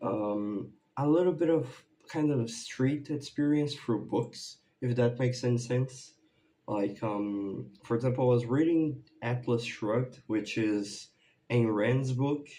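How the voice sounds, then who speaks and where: A man with a Brazilian accent, medium pitch, a dark, mellow tone, ordinary pitch variation and a fairly slow pace. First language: Portuguese. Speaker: YouTuber, music reaction creator. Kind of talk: casual vlog update. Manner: halting, many fillers.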